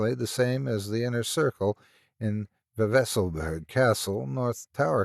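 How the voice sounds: Lively intonation marks this natural reading voice, heard against a quiet background.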